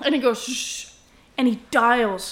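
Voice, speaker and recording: A woman with an unremarkable speaking voice talks at a fairly high pitch with fairly even intonation. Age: 20s. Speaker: podcast co-host. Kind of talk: casual chat.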